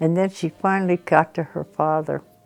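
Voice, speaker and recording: Music plays behind a woman speaking at a moderate pace. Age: 90s. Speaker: storyteller. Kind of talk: interview. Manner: halting.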